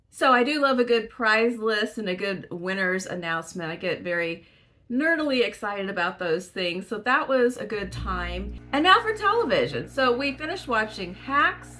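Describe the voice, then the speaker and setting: Noticeable background noise sits behind the voice. The pace is moderate, with hardly any pauses. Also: woman. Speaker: book vlogger. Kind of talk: casual chat.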